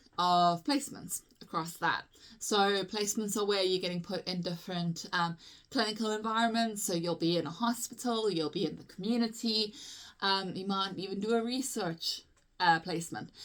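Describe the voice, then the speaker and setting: A woman speaks with a South African accent. Her pitch is medium. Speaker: physiotherapist. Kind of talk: tutorial. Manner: casual, chatty with frequent fillers.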